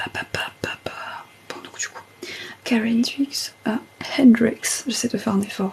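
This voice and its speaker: A woman whispers at a very slow pace, with long, frequent pauses. Noticeable background noise sits behind her. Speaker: ASMR streamer. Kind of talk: casual live stream chat. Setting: TikTok live stream. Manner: half-whispered.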